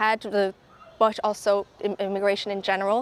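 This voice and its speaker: With an Irish accent, a woman speaks at a moderate pace and a medium pitch. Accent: Irish brogue. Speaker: tour ambassador. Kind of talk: casual interview.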